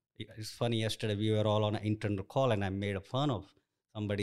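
A man's fairly low, monotone voice with flat intonation, in an Indian accent. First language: an Indian language. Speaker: construction director. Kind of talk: interview. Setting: office.

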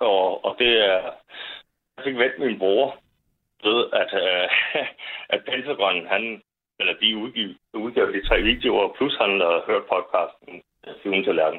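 A man speaking at a very slow pace, with long, frequent pauses. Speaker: caller. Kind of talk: casual chat. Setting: phone call.

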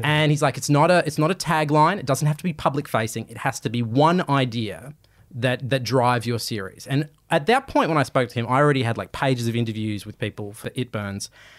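A man with an Australian accent, medium pitch and a fairly quick pace. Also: ordinary pitch variation. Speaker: podcast and TV presenter, journalist. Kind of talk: interview conversation.

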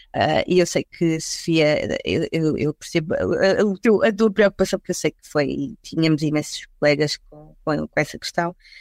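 In a dry, close recording with no echo, a woman speaks at a moderate pace with hardly any pauses. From Portugal, Lisbon and the Algarve. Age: 40s. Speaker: HR recruitment executive. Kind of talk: casual panel discussion.

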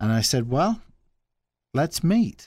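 A man speaks with an American accent in a dark, mellow tone. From England, Nuneaton near Coventry (English Midlands). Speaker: nonprofit executive director. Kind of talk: casual interview.

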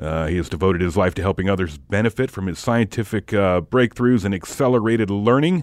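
Talking at a fairly quick pace with hardly any pauses, a man has an ordinary speaking voice, fairly low in pitch with ordinary variation, in a dry, close sound with no echo. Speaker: podcast host. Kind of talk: casual interview. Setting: studio.

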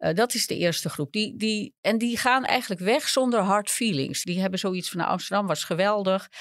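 A woman at a medium pitch and moderate pace, with ordinary pitch variation and hardly any pauses, on a very clean recording with a silent background. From Netherlands, small village. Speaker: urban geographer. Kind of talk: interview. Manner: halting.

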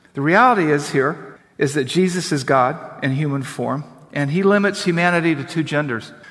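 He has an unremarkable speaking voice, pitched fairly high, with ordinary pitch variation and a moderate pace. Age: 50s. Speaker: pastor. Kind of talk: sermon. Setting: church.

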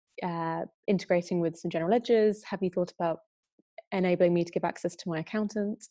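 With an English accent, a woman speaks at a very fast pace with fairly even intonation. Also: fairly low pitch for a woman. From UK. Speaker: software company country manager. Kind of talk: webinar interview.

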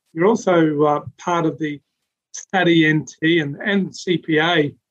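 Speaking in an Australian accent, a man uses a fairly high pitch and fairly even intonation. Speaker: podcast host. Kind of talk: interview.

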